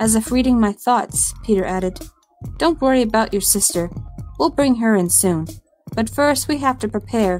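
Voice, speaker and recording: There is music in the background. A woman talks at a fairly high pitch with lively intonation and very even loudness. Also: moderate pace. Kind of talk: scary story narration.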